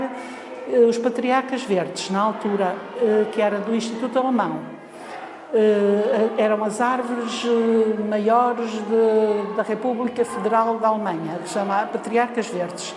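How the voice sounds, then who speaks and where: A woman's fairly high voice, its intonation fairly even, carries through audible room echo and noticeable background noise. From Portugal, Lisbon. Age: 60s. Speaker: foundation library staff. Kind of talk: oral history interview. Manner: hesitant, many fillers.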